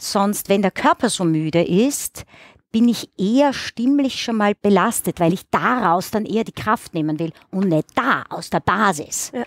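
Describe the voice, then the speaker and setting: A woman speaks at a fairly slow pace and medium pitch, her intonation lively, in a dry recording with no echo and a quiet background. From Austria, Styria. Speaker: actress, singer and music teacher; actress, music teacher. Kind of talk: interview. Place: studio. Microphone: headset.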